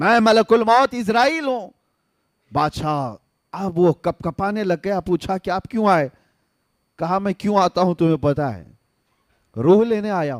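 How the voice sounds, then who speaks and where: The voice has lively intonation, heard on a very clean recording with a silent background and a dry, close sound with no echo. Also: man. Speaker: Islamic scholar / preacher. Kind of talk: Islamic sermon (bayan) to a live audience. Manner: storytelling within sermon, dramatic.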